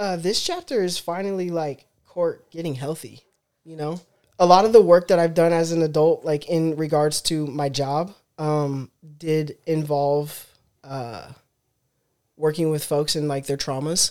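A woman with an American accent speaks at a fairly slow pace in a dark, mellow tone, her fairly low pitch moving with ordinary variation while her loudness swings widely, with long, frequent pauses on a very clean recording with a silent background. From Los Angeles, Westchester. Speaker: former basketball player. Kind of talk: interview.

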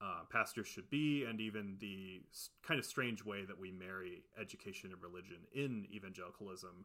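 A man with an American accent, fairly low in pitch, an ordinary speaking voice with ordinary pitch variation at a fairly quick pace. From Ohio, US Midwest. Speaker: podcast co-host. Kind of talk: reading prepared research notes; casual chat.

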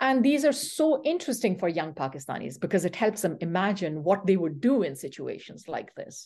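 A woman talks at a fairly quick pace in a medium pitch, her tone dark and mellow. Her pitch swings very widely, and the background is quiet. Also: hardly any pauses. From Peshawar, Pakistan. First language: Pashto. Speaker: university professor. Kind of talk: interview, academic discussion.

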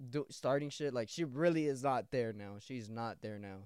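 A man with an ordinary speaking voice, lively intonation and a moderate pace, in a very clean recording with a silent background. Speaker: podcaster. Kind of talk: casual solo podcast, with an angry, profane rant aimed at an ex. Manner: loud, aggressive, ranting, with heavy profanity and repeated 'bro'; casual, rambling, repeating phrases.

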